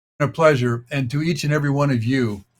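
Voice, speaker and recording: With an American accent, a man speaks in a fairly high pitch, sounding somewhat breathy, with fairly even intonation. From United States. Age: 70s. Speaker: author and population speaker. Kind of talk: interview talk. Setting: radio show.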